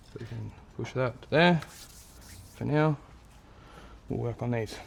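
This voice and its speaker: A soft-spoken, somewhat breathy man at a fairly slow pace, with a medium pitch and ordinary pitch variation. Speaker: car mechanic vlogger. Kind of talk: workshop tutorial.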